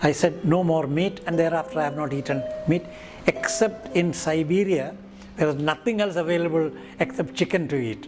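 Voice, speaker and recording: With an Indian accent, a man speaks at a moderate pace and fairly high pitch, using ordinary pitch variation, with noticeable background noise. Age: 70s. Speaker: retired professor of virology, pediatrician. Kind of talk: interview. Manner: halting, with many fillers.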